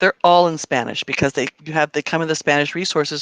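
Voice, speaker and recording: Words come at a very fast pace in a dry, close sound with no echo, over a quiet background. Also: woman. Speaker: district math teacher coach presenting training. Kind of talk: online teacher training tutorial. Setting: livestream screen share. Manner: halting, many restarts.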